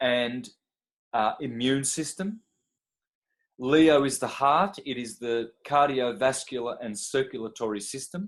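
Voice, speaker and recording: Speaking at a very slow pace, a man holds a medium pitch. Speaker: astrology teacher. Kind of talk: lecture.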